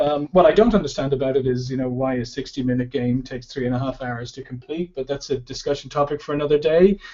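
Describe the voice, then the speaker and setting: A man with an Irish accent speaks at a fairly quick pace in a fairly high pitch. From Ireland. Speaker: sales expert. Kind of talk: webinar presentation. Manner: halting, many fillers.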